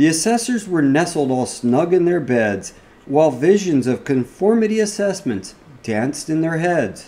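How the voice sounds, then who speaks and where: Playful in tone, a man speaks at a moderate pace in a dark, mellow tone with very wide pitch swings. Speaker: cybersecurity podcast host. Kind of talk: fireside reading of a Christmas parody poem. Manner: storytelling cadence, rhythmic and playful. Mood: playful, cozy storytelling.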